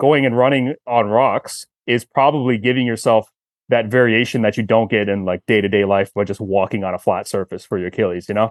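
Here is a plain, everyday voice of a man at a medium pitch. His pace is moderate, with ordinary pitch variation. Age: 30s. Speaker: performance coach and tendon expert. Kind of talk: casual chat.

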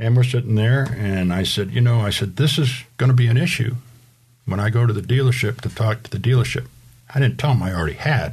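A man talks at a very fast pace in a medium pitch, somewhat breathy. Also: ordinary pitch variation. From Rhode Island. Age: 60s. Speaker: car enthusiast, recurring podcast guest. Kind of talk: casual chat.

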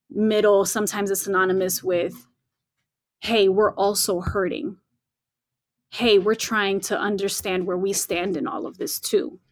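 This woman speaks at a moderate pace in a medium pitch, her intonation fairly even and broken by long, frequent pauses. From Latin American roots. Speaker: church community leader. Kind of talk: casual chat.

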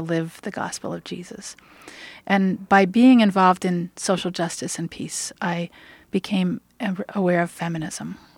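A normal speaking voice, recorded very cleanly against a silent background with a dry, close sound and no echo, moves at a moderate pace with fairly even intonation. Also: woman. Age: 50s. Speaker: minister. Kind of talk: radio interview.

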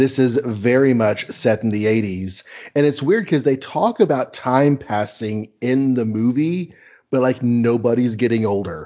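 A man speaks in a normal speaking voice at a medium pitch. He talks fairly slowly, with ordinary pitch variation. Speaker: podcast co-host. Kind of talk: casual chat.

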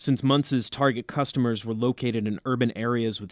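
A man with an American accent has a normal speaking voice at a medium pitch, talking at a fairly quick pace with fairly even intonation. The recording is very clean with a silent background and a dry, close sound with no echo. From US Northeast, New Jersey. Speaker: podcast co-host. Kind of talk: casual chat.

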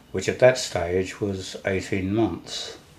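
A man with a very deep, low pitch speaks very slowly in a somewhat breathy voice, his pitch varying an ordinary amount. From London, England. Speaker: war veteran. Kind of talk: interview. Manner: halting.

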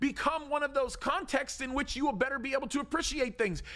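A man speaks in a raised, projected voice at an extremely high pitch. His tone is bright, sharp and animated. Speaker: pastor. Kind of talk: sermon. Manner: loud, animated.

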